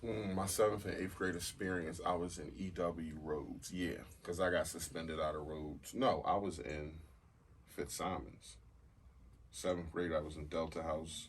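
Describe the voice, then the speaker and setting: A very deep, low-pitched, somewhat breathy man's voice with an American accent, in audible room echo. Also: ordinary pitch variation, moderate pace. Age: 40s. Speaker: podcast host. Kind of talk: casual chat.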